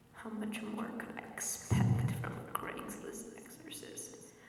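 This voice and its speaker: A fairly slow whisper over noticeable background noise. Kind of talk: ASMR horror story reading. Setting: rain sounds in background. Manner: whispered, soft-spoken.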